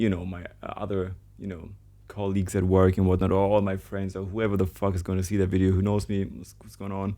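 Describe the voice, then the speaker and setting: A man's very deep, low, dark and mellow voice with a German accent, fairly quick and monotone in a flat way. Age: 20s. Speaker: vlogger, trader. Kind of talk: casual vlog monologue. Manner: halting, many restarts and fillers.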